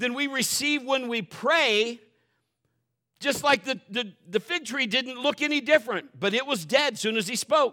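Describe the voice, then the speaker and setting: A man's extremely high-pitched, raised, projected voice, animated in tone and bright, sharp in sound, with ordinary pitch variation. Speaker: pastor. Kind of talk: sermon; preacher in full flow, urgent and fervent. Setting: church. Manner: animated, exhorting the congregation; folksy, joking, conversational.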